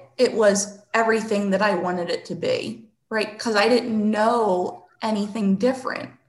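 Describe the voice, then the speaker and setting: A woman's fairly high-pitched voice carries audible room echo. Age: 40s. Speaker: therapist. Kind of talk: interview.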